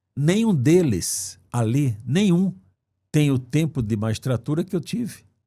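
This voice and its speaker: At a very slow pace, a man with a fairly high pitch speaks in a dark, mellow, somewhat breathy tone on a very clean recording with a silent background. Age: 70s. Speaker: former judge running for Senate. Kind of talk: interview. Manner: halting, repeats words.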